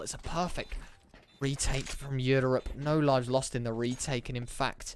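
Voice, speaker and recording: This man's voice sits fairly high in pitch, at a moderate pace. Noticeable background noise runs underneath. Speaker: esports caster. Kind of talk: live commentary. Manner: restrained, not shouting.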